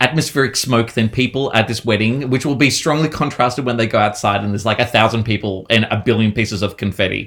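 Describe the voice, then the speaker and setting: Speaking very fast with hardly any pauses, a man with an Australian accent talks at a medium pitch. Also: ordinary pitch variation. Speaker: horror novelist. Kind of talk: casual chat. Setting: remote call.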